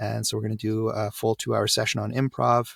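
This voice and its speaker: Recorded very cleanly against a silent background, a man with a Canadian accent speaks in a fairly low pitch with monotone, flat intonation. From Canada. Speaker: voiceover coach. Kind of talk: podcast interview.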